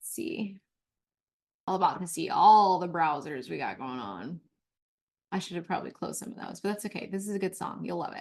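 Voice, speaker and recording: A woman in an animated tone at a fairly quick pace, with big swings in loudness and long, frequent pauses. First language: not English. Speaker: mentorship coach. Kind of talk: course overview presentation. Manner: halting.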